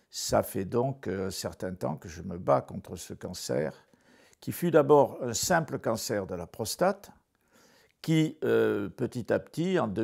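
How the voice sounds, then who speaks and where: Recorded very cleanly against a silent background, a man with a fairly low pitch and vocal fry speaks in very wide pitch swings. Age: 70s. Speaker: cancer patient. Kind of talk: testimony. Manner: halting, many hesitations.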